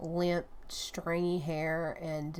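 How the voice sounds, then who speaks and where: Soft-spoken, a woman talks with a Southern US accent. Her very deep, low pitch holds a flat, monotone intonation. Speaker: collage artist. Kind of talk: casual talk to camera.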